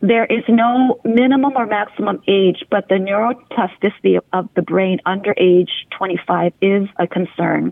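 A woman with an American accent has an unremarkable speaking voice and ordinary pitch variation. She talks at a fairly slow pace with hardly any pauses. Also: medium pitch for a woman. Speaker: integrative medicine physician. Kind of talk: interview. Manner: formal.

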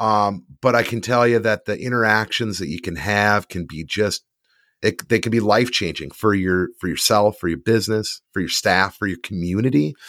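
A man's plain, everyday voice, fairly low in pitch with ordinary pitch variation, at a moderate pace, dry and close with no echo in a very clean recording over a silent background. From US North. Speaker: trade magazine publisher. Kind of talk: casual chat.

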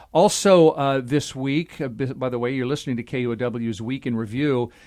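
On a very clean recording with a silent background, a man with a plain, everyday voice speaks at medium pitch and a fairly slow pace. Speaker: radio host. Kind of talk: news panel discussion. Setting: studio. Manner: conversational, jokey.

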